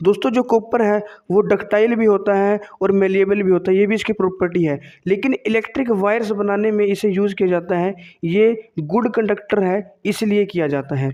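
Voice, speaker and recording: At a moderate pace, a man speaks in a high pitch with a dark, mellow tone and ordinary pitch variation. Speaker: quiz teacher. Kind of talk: tutorial.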